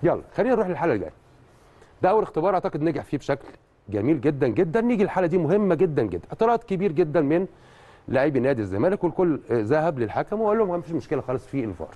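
Very fast and dark, mellow in tone, a man's voice shows vocal fry and very wide pitch swings. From Egypt. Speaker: refereeing analyst. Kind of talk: TV match analysis. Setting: studio. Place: studio.

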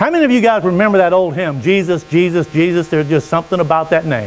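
A man talks at a very fast pace against light background noise. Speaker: preacher. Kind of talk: sermon. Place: church. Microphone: lapel.

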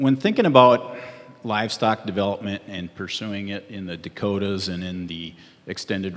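Speaking in a plain, everyday voice, a man talks at a moderate pace and a fairly low pitch with ordinary pitch variation. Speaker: panelist. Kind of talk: panel answer. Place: stage. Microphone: handheld.

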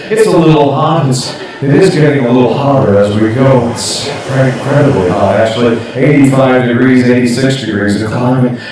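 Strong room echo and noticeable background noise surround a man speaking at a moderate pace with hardly any pauses. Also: ordinary pitch variation. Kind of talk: hypnotic suggestion performance. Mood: playful, soothing suggestions.

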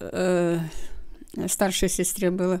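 In a quiet background, a woman speaks at a very slow pace with a dark, mellow tone. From Russia, near the Belarus border. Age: 80s+. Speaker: grandmother recalling WWII childhood; interviewee. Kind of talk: oral history interview. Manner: halting. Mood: reflective, recalling wartime childhood. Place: home room. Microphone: handheld.

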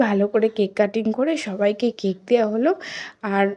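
A woman's fairly high-pitched voice has a dark, mellow tone and fairly even intonation. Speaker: vlogger. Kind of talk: vlog narration. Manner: casual, conversational.

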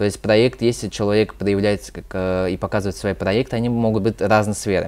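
Fairly low in pitch, a man talks at a fairly quick pace. His intonation is monotone and flat. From Moscow, Russia; Russia. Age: 20s. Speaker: youth activist; guest. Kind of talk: interview. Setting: studio. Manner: halting, many fillers. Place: studio.

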